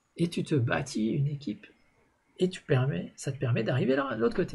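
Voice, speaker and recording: A man talks with very wide pitch swings. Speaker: network marketing coach. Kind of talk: live video show.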